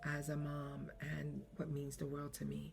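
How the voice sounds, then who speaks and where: A woman is heard with audible room echo. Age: 50s. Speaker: podcaster. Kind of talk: personal reflective monologue. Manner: halting.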